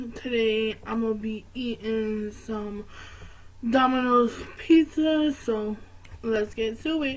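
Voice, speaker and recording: The speaker is a woman. Her pitch moves with ordinary variation. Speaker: vlogger. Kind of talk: casual vlog chat. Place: home room. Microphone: webcam.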